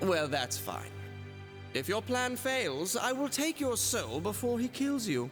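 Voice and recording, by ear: A man's put-on character voice, high in pitch with big swings, at a slow pace over clear background music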